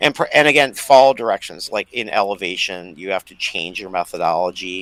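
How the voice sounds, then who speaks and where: In a dry, close sound with no echo, a man with a fairly low voice talks at a fairly quick pace in an animated tone, with big swings in loudness. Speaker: home canning and survival enthusiast. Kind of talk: casual instructional chat. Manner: fast; animated, many fillers.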